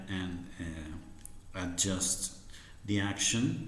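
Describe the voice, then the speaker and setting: Somewhat breathy speech in an Argentine accent, with audible room echo. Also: man. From Argentina. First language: Spanish. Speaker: harmonica teacher. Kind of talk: tutorial. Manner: halting, many fillers.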